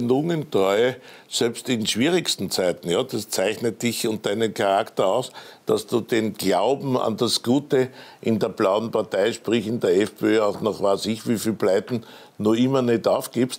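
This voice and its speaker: A man's medium-pitched voice with an Austrian accent, very even in loudness, with ordinary pitch variation, at a fairly slow pace. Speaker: TV news host. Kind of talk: TV interview. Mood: ironic, lightly teasing. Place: studio.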